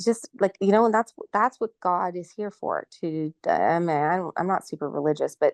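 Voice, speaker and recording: In a Canadian accent, a woman talks at a fairly quick pace with lively intonation. The sound is dry and close with no echo, and the background is quiet. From Canada, Ontario. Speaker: nurse, vaccine injury advocate. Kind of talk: interview testimony. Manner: halting.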